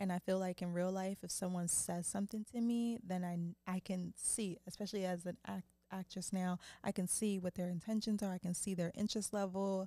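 A woman speaks at a fairly quick pace in an American accent, with a dark, mellow tone and monotone, flat intonation. The sound is dry with no echo and a quiet background. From Philadelphia, US. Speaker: actress. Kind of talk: casual chat. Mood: reflective, relaxed. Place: studio. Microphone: studio mic.

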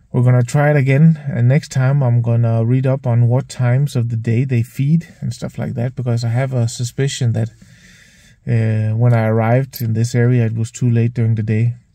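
In a dry recording with no echo and a quiet background, a man speaks at a moderate pace in a dark, mellow, somewhat breathy tone with monotone, flat intonation. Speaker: nature photography vlogger. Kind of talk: casual vlog chat. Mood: calm, mildly disappointed. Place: car. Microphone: phone near.

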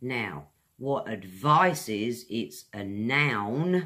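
This woman's pitch is very deep and low, with vocal fry and very wide pitch swings. The background is quiet. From England. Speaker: English teacher. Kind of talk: online language lesson. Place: home room. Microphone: phone near.

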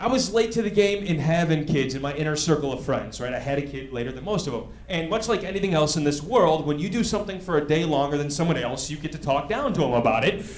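A man with an American accent and a fairly high pitch speaks at a very fast pace with lively intonation and hardly any pauses. Audible room echo and light background noise fill the recording. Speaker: stand-up comedian. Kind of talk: stand-up comedy. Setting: stage with audience. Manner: conversational, animated. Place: stage. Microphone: handheld.

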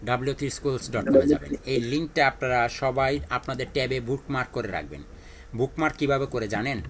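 A man talks at a fast pace with a medium pitch. His tone is fairly bright.

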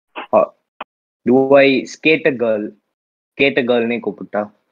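At a very slow pace, a man talks with ordinary pitch variation. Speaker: event judge. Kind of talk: casual chat. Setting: video call. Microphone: video call.

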